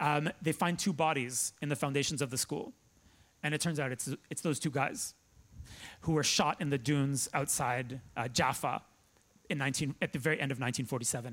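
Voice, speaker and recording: In an unremarkable speaking voice, a man with a Canadian accent talks at a moderate pace with a fairly high pitch and fairly even intonation, on a very clean recording with a silent background. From Toronto, Canada. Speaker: journalist and author. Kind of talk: lecture. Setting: stage with audience.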